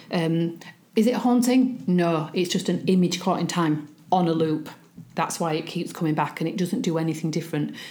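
This woman has a strong Yorkshire accent and a dark, mellow tone. Her pitch is fairly low with ordinary variation, at a moderate pace. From Yorkshire, England. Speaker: spiritualist medium. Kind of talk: interview.

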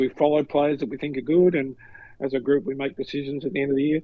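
A man with an Australian accent, fairly high in pitch, at a fairly quick pace. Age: 60s. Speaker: retired sports professional, co-host. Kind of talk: casual chat.

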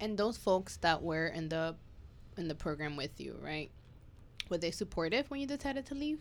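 A woman with a fairly low voice talks at a moderate pace, her pitch swinging very widely between long, frequent pauses. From New York. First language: not English. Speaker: podcast host. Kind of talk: casual chat. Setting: studio.

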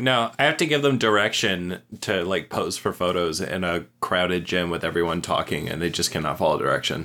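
Here a man speaks at a fairly quick pace with a very deep, low pitch. His tone is bright and sharp, and his intonation is lively. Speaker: podcast guest. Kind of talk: casual chat.

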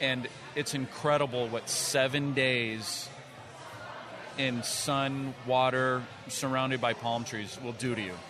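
A man's medium-pitched voice, very slow and flat in a monotone, with long, frequent pauses amid noticeable background noise. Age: 30s. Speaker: drummer and entrepreneur. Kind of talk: casual chat. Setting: restaurant with live recording.

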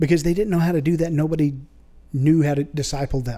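Dark and mellow in tone, the voice moves at a fairly quick pace with fairly even intonation. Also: man. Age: 30s. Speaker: church member. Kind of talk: casual chat. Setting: studio.

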